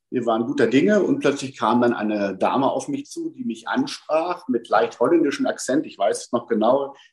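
With a quiet background behind him, a man delivers his words at a fairly quick pace. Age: 50s. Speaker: best ager model. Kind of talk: interview.

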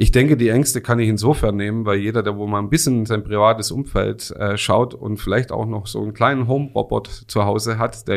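With vocal fry and a fairly low pitch, a man talks at a fairly quick pace using fairly even intonation. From Swabia, Remstal (Baden-Württemberg). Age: 40s. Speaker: video software industry expert. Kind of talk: expert interview.

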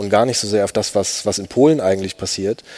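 This man has an unremarkable speaking voice, pitched fairly low. He talks at a moderate pace. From eastern Germany, Upper Lusatia (Saxony). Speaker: writer. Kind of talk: panel discussion before live audience. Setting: stage with audience.

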